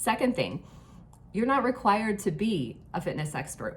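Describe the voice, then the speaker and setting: Noticeable background noise sits under this recording. A woman talks at a moderate pace. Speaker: online fitness coach. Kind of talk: casual talk to camera. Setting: hotel room.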